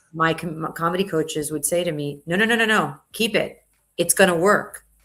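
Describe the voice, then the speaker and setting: A woman's ordinary speaking voice with an American accent, fairly low in pitch. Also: ordinary pitch variation, fairly quick pace. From South Florida, US. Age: 40s. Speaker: entrepreneur and comedian. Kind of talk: podcast interview.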